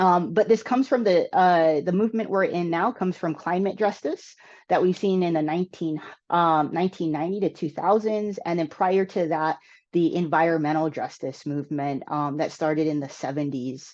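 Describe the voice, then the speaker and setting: Against a quiet background, a woman speaks with a normal speaking voice. Her pitch is fairly low with ordinary variation, at a moderate pace. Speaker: energy justice presenter. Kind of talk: webinar presentation. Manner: many filler words.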